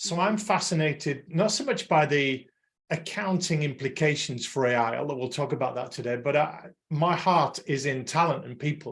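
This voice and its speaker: With an English accent, a man talks fairly slowly in a fairly high voice with ordinary pitch variation. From England. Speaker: podcast host and accounting-industry consultant. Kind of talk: panel discussion.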